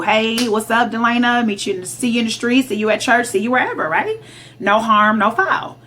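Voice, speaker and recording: The background noise is noticeable. A woman with an American accent speaks at a medium pitch. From Detroit, Michigan. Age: 30s. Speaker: dating vlogger. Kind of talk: casual vlog monologue. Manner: animated.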